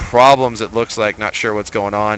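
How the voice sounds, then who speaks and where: A medium-pitched male voice with ordinary pitch variation over noticeable background noise. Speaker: esports caster. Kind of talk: live commentary. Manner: loud; animated.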